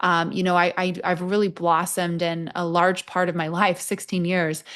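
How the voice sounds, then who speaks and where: Against a quiet background, a woman speaks in an American accent. Her pitch is fairly low and her intonation monotone and flat. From England, Nottingham. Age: 30s. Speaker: army veteran and HR leader. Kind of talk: interview.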